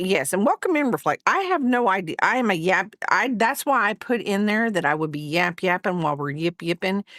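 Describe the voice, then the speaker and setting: On a very clean recording with a silent background, a woman with a Southern accent sounds dry and close, with no echo. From US South. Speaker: crochet streamer. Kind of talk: casual livestream chat. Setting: livestream. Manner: rambling, halting with fillers.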